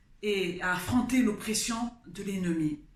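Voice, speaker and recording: A woman with a Congolese accent speaks at a very slow pace with lively intonation. Audible room echo surrounds her voice. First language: Kikongo (speaking French). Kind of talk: testimony. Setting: studio. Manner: halting, with hesitations.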